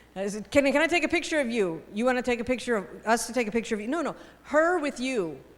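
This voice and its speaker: In an American accent, a woman with a high voice talks very fast, sounding animated with lively intonation. Noticeable background noise can be heard. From United States. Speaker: teacher trainer. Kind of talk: workshop lecture.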